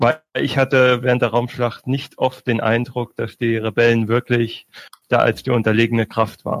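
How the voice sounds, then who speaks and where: Monotone, flat intonation at a moderate pace, in a dry, close sound with no echo. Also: man, medium pitch for a man. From Bavaria, Munich. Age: 20s. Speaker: postman, podcast community member. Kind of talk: casual chat.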